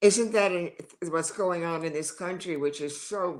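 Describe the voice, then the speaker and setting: A woman at a moderate pace, her pitch varying an ordinary amount. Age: 70s. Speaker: talk show host. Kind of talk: interview. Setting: live stream.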